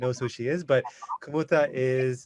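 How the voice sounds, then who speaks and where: A man's unremarkable speaking voice at a medium pitch, fairly even in intonation, with a dry, close sound and no echo. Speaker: podcast host. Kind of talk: casual interview chat.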